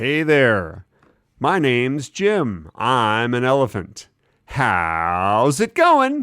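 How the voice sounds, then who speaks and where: A put-on character voice, low-to-middle in pitch, at a very slow pace, in a very clean recording with a silent background. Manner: drawn-out, elongated words, friendly greeting.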